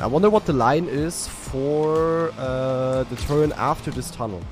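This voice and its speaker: A man with a German accent speaks over clear music in the background. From Eastern Germany. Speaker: game streamer. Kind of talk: live gaming commentary. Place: home room.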